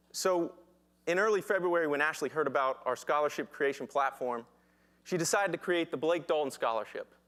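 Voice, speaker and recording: At a fairly quick pace, a man speaks with very even loudness. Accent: Southern US. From US South, Danville, Virginia. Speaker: social entrepreneur. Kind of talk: pitch presentation.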